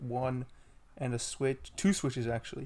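The recording is very clean, with a silent background. A man talks at a moderate pace. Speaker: podcast co-host.

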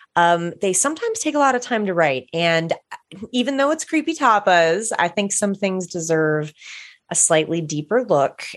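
A woman with a medium pitch speaks in an animated tone, her pitch swinging very widely. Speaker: podcast co-host. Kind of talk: casual chat. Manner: animated, excitable.

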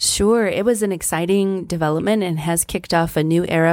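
Speaking at a fairly quick pace with fairly even intonation, a woman uses a normal speaking voice with a fairly low pitch and an American accent. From southern Colorado (Trinidad). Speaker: library director. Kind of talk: interview.

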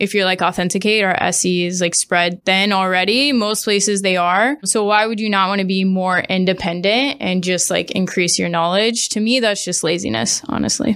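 At a fairly quick pace with hardly any pauses, a woman with an American accent and an unremarkable speaking voice talks at medium pitch, with ordinary pitch variation and very even loudness. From US Midwest (Springfield, Missouri). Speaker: tech sales account executive. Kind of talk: podcast interview.

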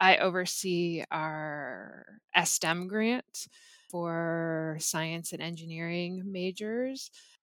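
This is a woman with an ordinary speaking voice and a Canadian accent. Her pitch is fairly low with ordinary variation, in a very clean recording with a silent background. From Canada, Ontario (Muskoka). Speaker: chemistry professor. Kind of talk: casual interview.

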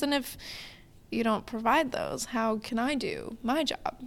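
A woman with an American accent speaks at a high pitch with ordinary pitch variation on a very clean recording with a silent background. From Wisconsin. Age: 20s. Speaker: architectural intern and interior designer. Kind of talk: casual chat. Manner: animated.

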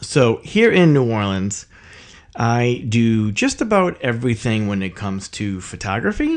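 A normal speaking voice at a fairly slow pace, with ordinary pitch variation and a quiet background. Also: man, medium pitch for a man. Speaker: podcast host and professional photographer. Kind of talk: solo podcast introduction monologue.

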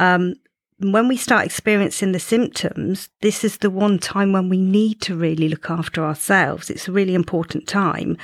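A woman speaks in a normal speaking voice at medium pitch. Her pitch variation is ordinary and her pace moderate. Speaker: menopause coach. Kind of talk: casual interview chat. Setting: studio.

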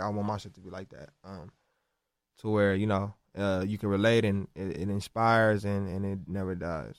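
A man with a normal speaking voice and an American accent talks at a fairly quick pace, with fairly low pitch and fairly even intonation. The recording is very clean, with a silent background. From South Central Los Angeles. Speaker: rapper. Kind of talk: casual interview chat.

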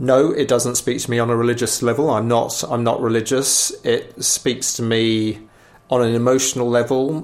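At a moderate pace, a man speaks at a medium pitch. His intonation is flat and monotone. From England. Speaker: politician. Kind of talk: interview. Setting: office.

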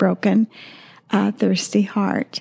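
A woman speaks with a slight Midwestern accent. Her dark, mellow tone carries vocal fry. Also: dry, close sound with no echo. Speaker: podcast co-host, widow and former pastor's wife. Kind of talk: devotional talk. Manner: halting, with many fillers.

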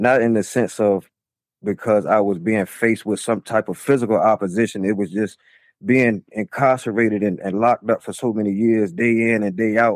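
Speaking at a moderate pace with an American accent, a man uses a fairly low pitch and fairly even intonation. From Chesapeake, Virginia. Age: 40s. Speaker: former prisoner. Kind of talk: casual interview. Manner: halting.

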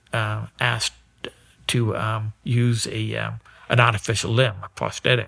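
Over noticeable background noise, a man with an American accent and medium pitch speaks fairly slowly in a monotone, flat way, with a dry, close sound and no echo. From northern Maine, US (Aroostook County). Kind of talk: interview. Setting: in person, Maine. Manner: halting, many fillers and repetitions.

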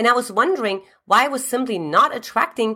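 A woman's animated, bright, sharp voice with a German accent. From Eastern Germany. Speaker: relationship coach. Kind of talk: scripted-style video talk, advice. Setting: YouTube video. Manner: animated, motivational.

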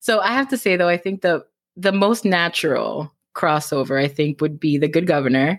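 A woman with a Cuban American accent talks at a fairly low pitch with lively intonation and very even loudness, in a very clean recording with a silent background. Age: 30s. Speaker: romance author. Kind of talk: casual interview. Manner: fast talker.

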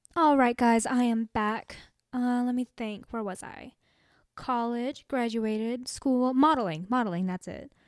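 In an American accent, a woman speaks at a fairly slow pace with a high pitch, an animated tone and ordinary pitch variation. The recording is very clean, dry and close, with no echo and a silent background. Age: young. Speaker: podcast host. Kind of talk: casual monologue.

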